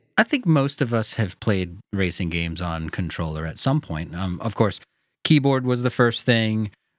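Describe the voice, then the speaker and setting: With an American accent, a man talks in a normal speaking voice at a fairly low pitch and moderate pace, his intonation lively, on a very clean recording with a silent background. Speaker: sim racing podcast host. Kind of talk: casual chat. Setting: studio.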